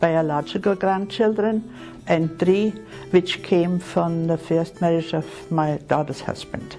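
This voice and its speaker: Music plays behind a woman who speaks very slowly in an Austrian accent at a fairly low pitch with ordinary pitch variation. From Vienna, Austria. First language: German. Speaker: retired nurse. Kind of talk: interview answer.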